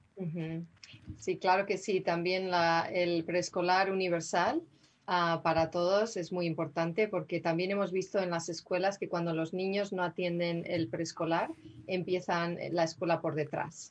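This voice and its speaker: Using an ordinary speaking voice, a woman talks at a fairly slow pace, fairly low in pitch and with fairly even intonation. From Spain, Madrid. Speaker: city councilwoman. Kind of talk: interview.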